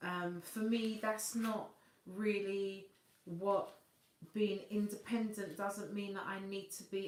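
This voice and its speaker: A Cockney accent amid audible room echo. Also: woman. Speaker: singer and vocal coach hosting a livestream. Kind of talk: live stream chat reading viewer comments.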